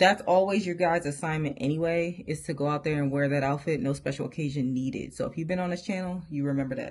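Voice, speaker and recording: With an animated tone, a woman speaks at a very fast pace with hardly any pauses, her very deep, low voice showing ordinary pitch variation. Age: 30s. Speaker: fashion YouTuber. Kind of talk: casual haul video chat.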